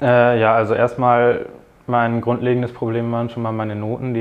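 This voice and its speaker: A man talks at a very fast pace and a medium pitch. His intonation is monotone and flat. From northern Germany, near Bremen. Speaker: student, M&A intern. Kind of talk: interview. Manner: hesitant, many filler sounds.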